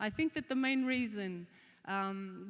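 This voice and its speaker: With an Australian accent, a woman talks at a fairly high pitch. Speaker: conference speaker. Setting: stage.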